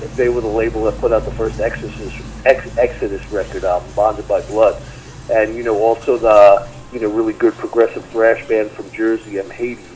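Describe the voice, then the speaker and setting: Over noticeable background noise, a man speaks with a New York accent. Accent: heavy New York. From US Northeast, Long Island, New York. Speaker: metal guitarist. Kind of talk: interview. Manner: halting, many fillers.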